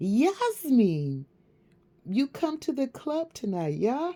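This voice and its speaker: The speaker uses a put-on character voice pitched high. The pace is very slow. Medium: read story. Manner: broken English, friendly.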